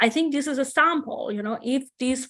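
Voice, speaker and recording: A woman speaks with a Persian accent. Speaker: AI researcher. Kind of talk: conference discussion. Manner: hesitant, many fillers.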